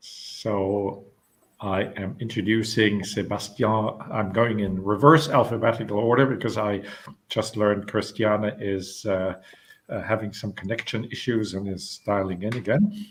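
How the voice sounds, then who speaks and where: With a German accent, a man speaks at a fairly slow pace in a fairly low pitch, keeping his intonation fairly even. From Germany. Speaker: panel moderator. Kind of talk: webinar panel moderation. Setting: online webinar. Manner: halting, many fillers.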